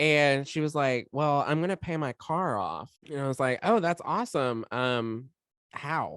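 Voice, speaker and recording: The speech moves at a fairly slow pace over a quiet background. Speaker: podcast co-host. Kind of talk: casual chat. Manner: expressive inflection when excited.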